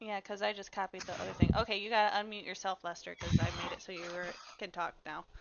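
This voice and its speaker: Very fast speech from a woman with an American accent, medium pitch, fairly even intonation and big swings in loudness. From Michigan. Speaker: streamer. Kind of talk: casual chat.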